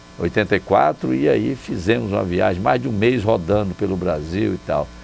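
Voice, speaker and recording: Against noticeable background noise, a man with a very deep, low pitch speaks at a moderate pace, making very wide pitch swings. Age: 60s. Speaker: former mayor. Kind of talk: interview. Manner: relaxed conversational.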